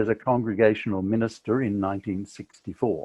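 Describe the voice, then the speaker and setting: Speaking with an Australian accent, a man keeps a moderate pace, a fairly low pitch and fairly even intonation. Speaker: author and podcaster. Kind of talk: reading aloud from own book.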